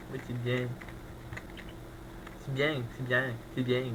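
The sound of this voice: Putting on a nasal character voice, a man speaks fairly slowly at a medium pitch over noticeable background noise.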